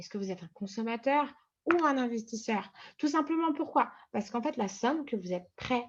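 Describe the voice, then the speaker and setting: Using very wide pitch swings, a woman speaks at a moderate pace. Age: 20s. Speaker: trading coach. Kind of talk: tutorial. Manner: hesitant, many fillers.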